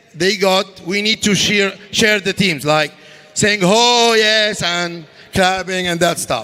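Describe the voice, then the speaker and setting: With an Arabic accent, a man uses a raised, projected voice at a high pitch over noticeable background noise. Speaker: contest scoreboard presenter. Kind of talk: live commentary. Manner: animated.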